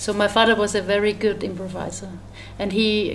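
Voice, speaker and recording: Speaking at a fairly slow pace with a German accent, a woman is heard with audible room echo. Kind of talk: interview. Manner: halting.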